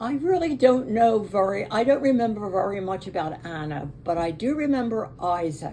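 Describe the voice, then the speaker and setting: With an American accent, a woman at medium pitch speaks at a moderate pace in a dark, mellow tone, her pitch swinging very widely and hardly any pauses in between. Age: 80s+. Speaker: interviewee recounting family memories. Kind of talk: family oral history interview. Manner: halting, with frequent fillers.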